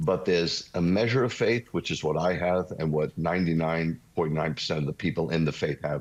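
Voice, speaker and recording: Over a quiet background, a man talks at a moderate pace. He has a New York accent. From New York City (Bronx). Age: 60s. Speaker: messianic rabbi. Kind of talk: interview testimony. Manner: animated.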